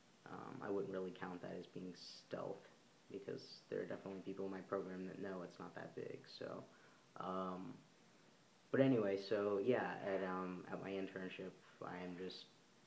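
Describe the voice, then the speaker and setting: Audible room echo hangs around a man's very deep, low voice. His delivery is flat and monotone, broken by long, frequent pauses. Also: moderate pace. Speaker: vlogger. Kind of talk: casual vlog monologue. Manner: halting, many fillers.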